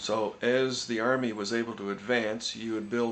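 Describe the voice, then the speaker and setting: In a plain, everyday voice, a man speaks with fairly even intonation. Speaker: interviewer. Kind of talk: interview questions.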